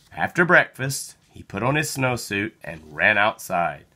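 A man's fairly low, bright and sharp voice with a slightly husky edge, big pitch swings and a fairly slow pace

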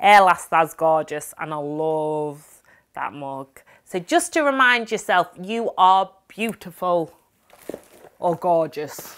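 A woman's fairly low voice in a Yorkshire accent, very slow, with lively intonation and big swings in loudness. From Yorkshire, England. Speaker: blogger, vlogger. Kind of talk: casual talk to camera. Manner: upbeat, enthusiastic. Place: home room.

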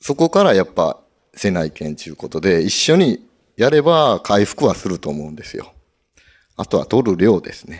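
Against a quiet background, a man with a fairly low pitch speaks at a moderate pace with very wide pitch swings and big swings in loudness. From Nagasaki, Iki island; Nagasaki, Japan. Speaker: tuna fisherman; guest. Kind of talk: live talk show. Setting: event studio with live audience. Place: hall. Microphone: handheld.

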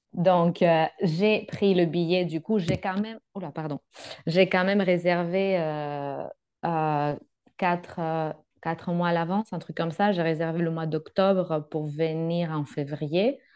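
Over a quiet background, a woman talks very slowly at a fairly low pitch with fairly even intonation. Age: 30s. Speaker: working holiday traveller, psychologist; guest. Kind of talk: interview. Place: home room. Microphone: video call.

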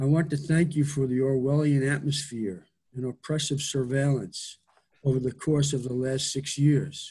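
A man with a dark, mellow tone speaks at a fairly high pitch, somewhat breathy, with fairly even intonation and a moderate pace. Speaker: poet. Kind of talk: poetry reading, spoken word; poetry reading. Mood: wry, sarcastic. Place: home room. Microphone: webcam.

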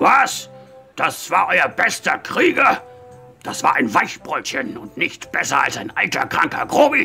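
A man's raspy, put-on character voice at an extremely high pitch, delivered at a fairly slow pace over faint music in the background. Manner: mocking.

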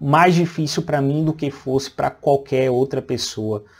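Somewhat breathy, a man talks at a moderate pace. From interior of Bahia, Brazil. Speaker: radiologist and medical educator; radiologist, medical educator. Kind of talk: personal life story. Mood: calm, reflective. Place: home room. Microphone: lapel.

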